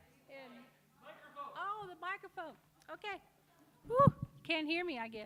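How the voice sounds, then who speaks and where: Against noticeable background noise, a woman at an extremely high pitch speaks at a moderate pace with long, frequent pauses, very wide pitch swings and big swings in loudness. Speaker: storyteller reading her own story and poems. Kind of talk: storytelling to a live audience. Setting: stage with audience. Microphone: too quiet at first.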